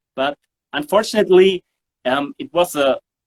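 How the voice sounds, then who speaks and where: Sounding dry and close with no echo, a man speaks with a German accent at a fairly slow pace. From southern Germany (Sindelfingen). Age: 40s. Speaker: bass player. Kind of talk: interview. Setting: studio. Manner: halting, many fillers.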